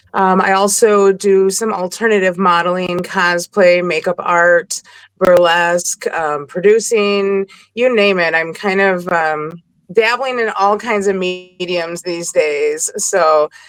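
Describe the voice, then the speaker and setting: Speaking very slowly with fairly even intonation, a woman uses a medium pitch in a Wisconsin accent. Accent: Wisconsin accent, noticeable. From Milwaukee, Wisconsin. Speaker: model and performer. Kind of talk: casual interview chat.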